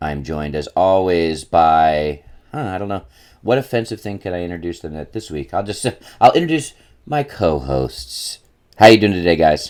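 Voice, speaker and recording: At a moderate pace, a man with a very deep, low pitch speaks with lively intonation and big swings in loudness. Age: middle-aged. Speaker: podcast host. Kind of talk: casual chat. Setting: remote recording over the internet.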